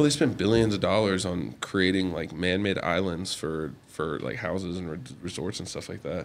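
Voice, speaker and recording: A man with a very deep, low pitch and vocal fry speaks at a moderate pace with lively intonation and hardly any pauses. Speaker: college football player. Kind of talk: casual chat. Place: home room. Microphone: studio mic.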